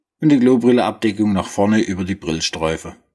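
With a Swabian accent, a man talks using lively intonation. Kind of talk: product explainer in dialect. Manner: humorous, casual.

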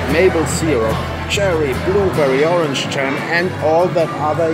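A man talks fairly slowly while clear music plays in the background. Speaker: travel vlogger. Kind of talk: casual vlog chat. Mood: cheerful, enthusiastic. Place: cafe. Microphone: phone near.

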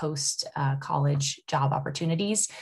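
Somewhat breathy speech with an American accent comes over a quiet background. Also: woman. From Nebraska, US Midwest. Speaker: university admissions recruiter. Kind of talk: presentation. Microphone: video call.

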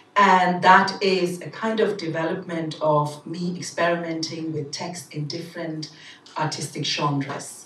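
A woman's fairly low voice with fairly even intonation at a fairly slow pace, over light background noise and audible room echo. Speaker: poet. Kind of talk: casual introduction to audience. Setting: live event. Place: hall.

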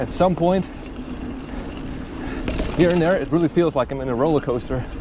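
Recorded dry with no echo, a man talks at a moderate pace with ordinary pitch variation over noticeable background noise. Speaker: mountain biker vlogger. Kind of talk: casual vlog commentary. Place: bicycle. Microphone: camera far.

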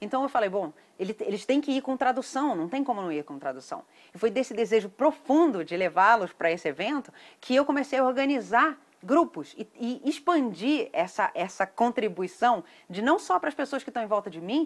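Speech comes at a fairly quick pace. Its pitch rises and falls very widely. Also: woman. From Brazil. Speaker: event promoter. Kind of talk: sales pitch. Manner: animated. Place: garden. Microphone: phone near.

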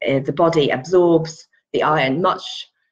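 Somewhat breathy, a woman speaks with an English accent. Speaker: pregnancy yoga and antenatal teacher. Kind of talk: casual vlog tutorial. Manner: hesitant, many fillers.

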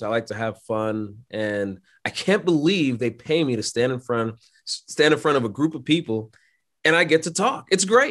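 A man at a moderate pace, lively intonation, quiet background. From New York City (Brooklyn). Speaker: aircraft maintenance instructor and pilot. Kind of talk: casual interview. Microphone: video call.

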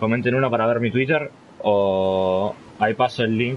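Light background noise accompanies a man whose pitch varies in an ordinary way. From Argentina. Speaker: gaming streamer. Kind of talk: live gameplay stream chat. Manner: animated.

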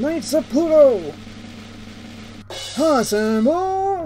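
Clear background noise behind a put-on character voice. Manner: pompous, commanding.

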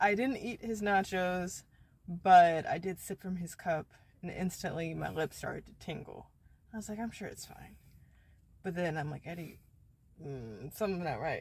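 A woman speaks at a moderate pace with a fairly low, somewhat breathy voice and long, frequent pauses. Her pitch variation is ordinary, while her loudness swings widely. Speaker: vlogger. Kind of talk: casual vlog chat. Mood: amused storytelling. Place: car. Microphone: phone near.

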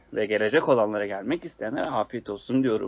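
This is a man's voice. He talks at a fast pace.

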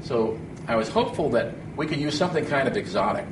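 Noticeable background noise fills the clip. Through it, a man talks. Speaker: guest instructor. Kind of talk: lecture. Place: classroom. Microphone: lapel.

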